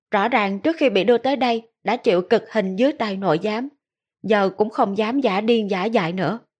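An unforced reading voice with ordinary pitch variation is heard against a quiet background.

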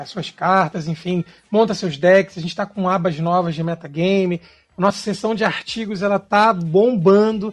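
Speaking fairly slowly in a high voice, a man keeps his intonation fairly even. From Brazil, Rio de Janeiro. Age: 30s. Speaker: Magic card game streamer. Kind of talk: casual podcast interview.

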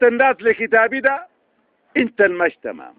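A man's extremely high-pitched voice with big pitch swings, in a dry, close sound with no echo

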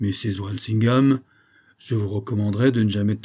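Here the words are read out naturally.

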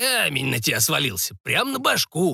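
This put-on character voice is creaky and raspy with vocal fry and a slightly husky edge. Its tone is bright and sharp, and its pitch swings very widely. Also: man, fairly high pitch for a man, moderate pace.

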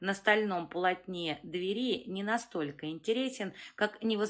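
The pitch variation is ordinary as the speaker reads aloud in a natural voice.

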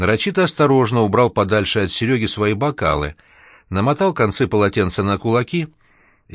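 Lively intonation runs through the speech. It is an unforced reading voice.

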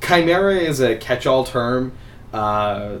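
There is audible room echo as a man speaks with ordinary pitch variation. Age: 20s. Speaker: podcast host. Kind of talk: casual chat.

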